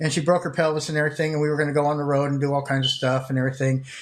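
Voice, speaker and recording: A somewhat breathy man with a fairly high pitch. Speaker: store owner and streamer. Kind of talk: casual live stream chat. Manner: rambling, halting with fillers; stumbling over words.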